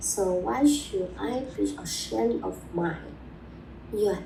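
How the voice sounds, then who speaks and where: A woman speaks with a Chinese accent. There is noticeable background noise and audible room echo. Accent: Mandarin-accented English. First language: Mandarin. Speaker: video blogger on language learning. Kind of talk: personal advice talk. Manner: halting.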